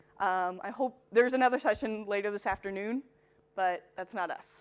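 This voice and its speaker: A woman with an American accent has a plain, everyday voice, medium pitch, ordinary pitch variation and a fairly quick pace. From US. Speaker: marketing technology consultant. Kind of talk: conference talk.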